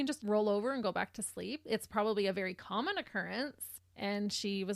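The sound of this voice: An unforced reading voice carries the words, with ordinary pitch variation.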